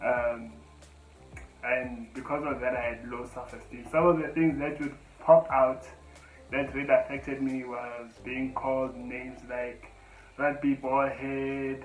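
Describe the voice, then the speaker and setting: Over music in the background and audible room echo, a man talks at a fairly slow pace in monotone, flat intonation with big swings in loudness. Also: medium pitch for a man. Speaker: spoken word poet. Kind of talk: personal testimony. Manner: halting.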